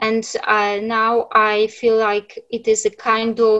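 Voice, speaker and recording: A woman speaks at a fairly high pitch. She has a Polish accent. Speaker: writer. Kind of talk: panel discussion. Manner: halting.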